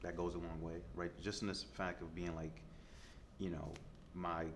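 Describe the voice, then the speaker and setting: A man with an American accent speaks at a fairly quick pace with a very deep, low pitch and vocal fry. Audible room echo surrounds his voice. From US Midwest, Detroit. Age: 30s. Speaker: chef. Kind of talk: interview. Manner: casual, filler-heavy.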